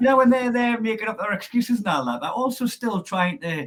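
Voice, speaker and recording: A man with a Geordie accent at a fairly quick pace. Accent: Geordie accent, clearly noticeable. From northern England, Newcastle area. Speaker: comedian. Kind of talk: casual chat.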